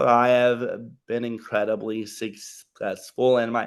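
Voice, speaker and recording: Against a quiet background, a man speaks very slowly at a medium pitch. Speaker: reality show contestant. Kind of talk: interview. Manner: halting.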